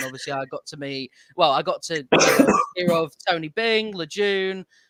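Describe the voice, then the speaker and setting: With a British accent, this raised, projected voice moves at a moderate pace. The pitch swings very widely. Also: man, dry, close sound with no echo. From United Kingdom. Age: 20s. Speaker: YouTube content creator. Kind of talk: casual podcast chat. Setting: late-night online call.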